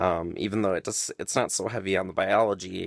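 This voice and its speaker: A man speaks at a fairly quick pace in a very clean recording with a silent background and a dry, close sound with no echo. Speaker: vlogger. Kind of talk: casual monologue. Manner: hesitant, many fillers.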